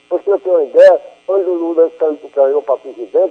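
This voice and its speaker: Music plays in the background as a man speaks at a fairly quick pace. His high voice keeps a fairly even intonation. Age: 60s. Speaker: radio caller. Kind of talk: call-in question on radio.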